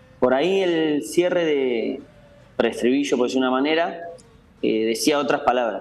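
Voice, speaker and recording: The speaker is a man with ordinary pitch variation. Audible room echo surrounds his voice. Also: fairly high pitch for a man, moderate pace. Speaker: teacher and football fan. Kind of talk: interview.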